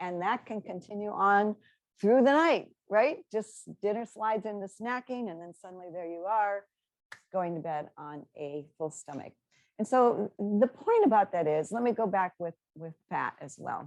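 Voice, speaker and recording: A woman with an ordinary speaking voice talks at a moderate pace and a medium pitch. Her intonation is lively, and her loudness swings widely. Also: dry, close sound with no echo. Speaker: dietitian nutritionist. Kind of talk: webinar presentation.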